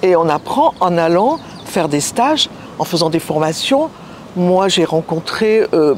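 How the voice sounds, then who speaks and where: Amid noticeable background noise, a woman speaks at a very slow pace in a fairly low pitch with lively intonation. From southern France, Nice. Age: 80s+. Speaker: singer and speaker, therapist. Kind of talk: interview. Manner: halting.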